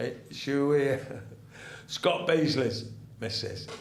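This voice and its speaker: The voice is somewhat breathy, and audible room echo surrounds it. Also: man. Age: 70s. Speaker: retired ex-soldier and football fan. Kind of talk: casual chat. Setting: studio. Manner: halting.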